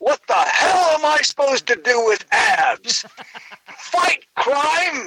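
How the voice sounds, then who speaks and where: A man speaks in a raised, projected voice at an extremely high pitch, very slowly and with lively intonation. His loudness stays very even, and the sound is dry and close with no echo. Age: 60s. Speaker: comedian. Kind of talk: casual chat.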